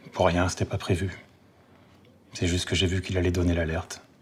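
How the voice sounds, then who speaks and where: The voice is somewhat breathy, with a monotone, flat intonation. It moves at a fairly quick pace. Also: man, very deep, low pitch for a man. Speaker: actor. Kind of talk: TV drama scene. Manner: bitter, contemptuous.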